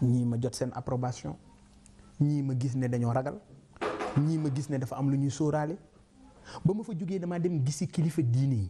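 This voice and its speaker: With long, frequent pauses, a man with a fairly high pitch talks at a moderate pace and ordinary pitch variation, with noticeable background noise. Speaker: politician and businessman. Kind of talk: interview.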